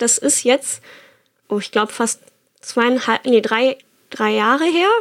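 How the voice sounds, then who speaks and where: The woman talks at a moderate pace. Her intonation is lively. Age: 20s. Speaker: bone cancer survivor and rider. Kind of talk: personal testimony.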